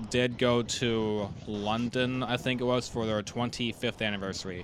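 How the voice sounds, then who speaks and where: A man speaks in an unremarkable speaking voice at medium pitch. His intonation stays fairly even. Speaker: trombone channel podcast host. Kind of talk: casual interview.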